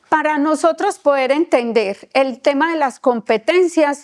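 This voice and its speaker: A woman speaks in a high pitch at a fairly slow pace. The recording is very clean, with a silent background. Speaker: instructor. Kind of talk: lecture.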